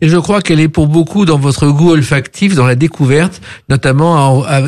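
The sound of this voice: This man's voice has a slightly mellow tone, ordinary pitch variation and a moderate pace.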